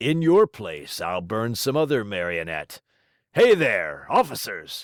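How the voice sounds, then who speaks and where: A man's raspy, put-on character voice at a medium pitch and a fairly slow pace. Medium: read story.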